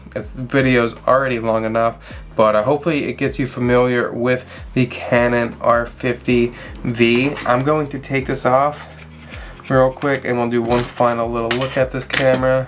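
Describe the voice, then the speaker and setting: Speech at a moderate pace with noticeable background noise behind it. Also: man, medium pitch for a man. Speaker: wildlife photographer and camera reviewer. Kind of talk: tutorial. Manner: less excited than usual; casual, with fillers.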